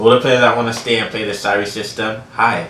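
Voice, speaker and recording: The speaker talks at a fairly quick pace with fairly even intonation, amid audible room echo and noticeable background noise. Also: man. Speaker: sports channel host. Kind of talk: casual sports commentary vlog.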